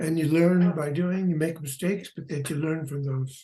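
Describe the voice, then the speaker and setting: With a high pitch and a dark, mellow tone, a man speaks. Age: 90s. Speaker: retired animation artist. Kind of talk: interview. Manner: halting.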